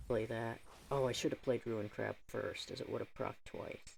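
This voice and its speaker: A man speaks quietly. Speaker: gaming YouTuber. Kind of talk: gameplay commentary. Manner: casual, thinking aloud.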